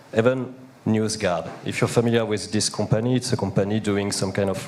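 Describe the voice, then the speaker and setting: A man speaks with fairly even intonation. Noticeable background noise runs underneath. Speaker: panel participant. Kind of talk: panel discussion.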